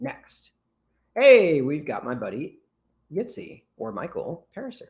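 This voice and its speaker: This is a man's voice. It carries vocal fry. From Britain. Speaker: business founder and conference presenter. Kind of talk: webinar profile review. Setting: online video conference. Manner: fast; casual.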